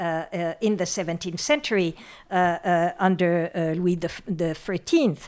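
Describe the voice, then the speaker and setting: A woman's medium-pitched voice with a French accent. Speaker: professor emerita of literature and gender studies. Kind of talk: academic interview. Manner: halting, hesitant with many fillers.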